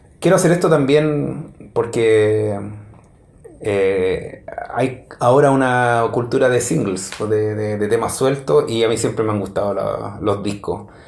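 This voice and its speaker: With a Chilean accent, a man talks at a very slow pace, with audible room echo. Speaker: music reviewer. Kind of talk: solo review monologue. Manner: halting, many fillers. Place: home room.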